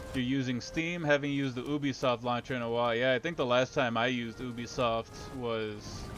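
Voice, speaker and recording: A man's medium-pitched voice at a fairly quick pace, fairly even in intonation and with hardly any pauses, over music in the background. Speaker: gaming streamer. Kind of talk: casual gameplay commentary. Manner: fast.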